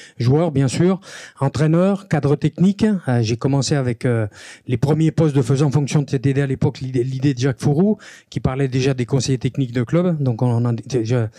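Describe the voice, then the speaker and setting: A man speaks at a moderate pace with very even loudness, his fairly high voice dark and mellow with ordinary pitch variation. The recording is very clean with a silent background and a dry, close sound with no echo. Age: 60s. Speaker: rugby referee trainer. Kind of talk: conference talk. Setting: stadium conference room with audience.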